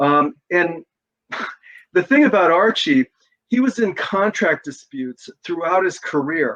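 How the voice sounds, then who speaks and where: A high-pitched man speaks at a fairly slow pace with very wide pitch swings and long, frequent pauses. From California, Sacramento. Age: 60s. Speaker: author. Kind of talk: interview. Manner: hesitant, many fillers.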